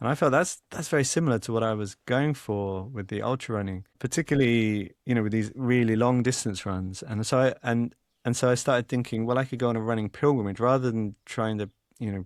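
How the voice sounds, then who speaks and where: A man's medium-pitched voice with an English accent at a fairly quick pace, on a very clean recording with a silent background. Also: ordinary pitch variation. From England. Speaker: author and journalist. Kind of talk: podcast interview. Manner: halting, frequent repetitions and fillers.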